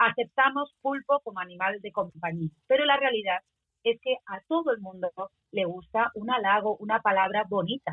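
A woman speaks in a plain, everyday voice at a moderate pace. Her pitch is fairly high and her intonation lively. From Spain. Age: 40s. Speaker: singer-songwriter. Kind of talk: radio interview. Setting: radio show.

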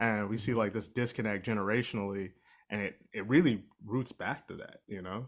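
A man with an American accent and a normal speaking voice talks fairly quickly at a fairly low pitch with fairly even intonation, in a very clean recording with a silent background. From Ohio. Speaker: musician and performer. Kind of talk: casual chat.

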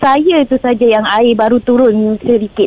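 The woman's pitch is high. Her tone is dark and mellow. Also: dry, close sound with no echo. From Batu Pahat, Johor, Malaysia. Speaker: flood victim caller. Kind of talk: radio phone-in.

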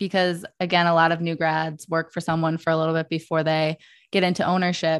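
A woman with an American accent talks at a fairly quick pace, her pitch fairly low. It is an ordinary speaking voice against a quiet background. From Michigan. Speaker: podcast host. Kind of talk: podcast interview.

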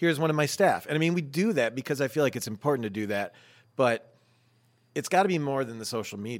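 Talking at a very fast pace in an American accent, a man with a fairly high pitch uses lively intonation, the recording very clean with a silent background. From Syracuse, New York. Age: 40s. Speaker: restaurant owner. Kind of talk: casual chat.

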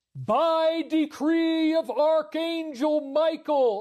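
A put-on character voice, high in pitch and very slow in pace. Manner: heroic, proclaiming.

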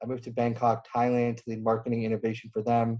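Dark, mellow tone from a man at medium pitch. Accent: American. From US Midwest. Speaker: venture investor. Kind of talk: podcast interview.

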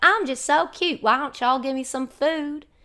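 A woman does a put-on character voice with a Tennessee accent, pitched high. She keeps a moderate pace. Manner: cute, coaxing.

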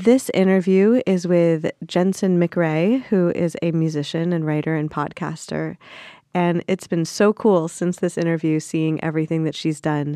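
A woman's fairly low-pitched, dark, mellow voice at a fairly slow pace, with ordinary pitch variation, a dry, close sound with no echo and a quiet background. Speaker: podcast host. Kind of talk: scripted podcast intro and outro.

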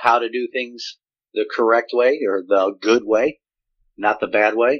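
Here a man with a normal speaking voice talks at medium pitch and a moderate pace. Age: 50s. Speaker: retired navy senior enlisted, leadership consultant. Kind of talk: interview on leadership.

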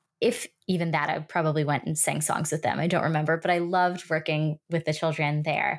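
In a very clean recording with a silent background, a woman with a New York accent speaks at a very deep, low pitch with fairly even intonation. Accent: New York American English. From US Northeast, New York City. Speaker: Montessori educator and language consultant. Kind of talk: interview.

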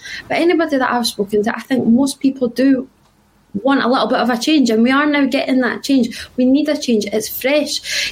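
Noticeable background noise surrounds a woman with a Glasgow accent. Her pitch is high, with ordinary pitch variation, and she moves at a fairly quick pace. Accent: Scottish (Glasgow). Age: 20s. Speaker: journalism student and football pundit. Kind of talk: casual chat.

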